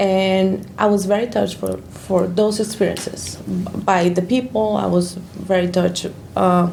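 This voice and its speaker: A woman is speaking. Audible room echo and noticeable background noise are present. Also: fairly slow pace. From Colombia. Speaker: church ministry worker. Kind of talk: interview.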